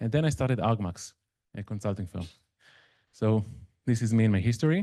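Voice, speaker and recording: Speaking with an Israeli accent, a man has a dark, mellow tone and lively intonation. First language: Hebrew. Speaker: machine learning consultant. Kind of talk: conference talk. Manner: conversational, with fillers.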